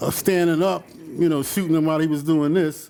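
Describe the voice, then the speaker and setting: A man with an American accent speaks in a fairly high pitch. His tone is dark and mellow, with fairly even intonation. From New York (Brooklyn, Queens). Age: 60s. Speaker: photographer. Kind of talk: informal talk presenting photos to an audience. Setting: exhibition event with live audience. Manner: casual, halting with many fillers.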